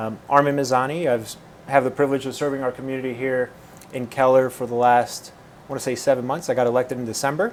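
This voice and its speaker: Over noticeable background noise, a man rattles off words at a very fast pace in a monotone, flat intonation. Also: medium pitch for a man. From Puerto Rico, then California and the Midwest. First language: Spanish. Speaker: mayor. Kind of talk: interview.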